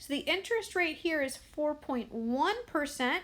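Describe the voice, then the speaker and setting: At a fairly slow pace, the voice moves through very wide pitch swings in a very clean recording with a silent background. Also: woman. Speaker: math teacher. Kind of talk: tutorial.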